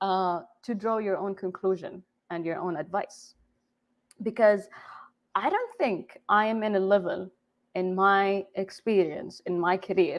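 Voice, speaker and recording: A woman with an Arabic accent speaks at a medium pitch and a fairly slow pace, with ordinary pitch variation and long, frequent pauses. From Saudi Arabia, Jeddah. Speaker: game developer. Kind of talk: conference talk. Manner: halting.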